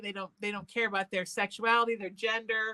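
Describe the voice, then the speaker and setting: With an American accent, a woman talks at a fairly quick clip in a fairly high, bright, sharp voice with fairly even intonation, the sound dry and close with no echo. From Connecticut. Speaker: talk radio host. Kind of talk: casual interview chat.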